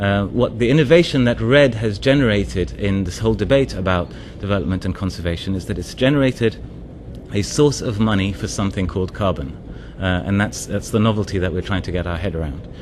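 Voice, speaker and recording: Over noticeable background noise and audible room echo, a man with a fairly low voice talks very fast with lively intonation. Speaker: development NGO advisor. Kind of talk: conference presentation. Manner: hesitant, many fillers.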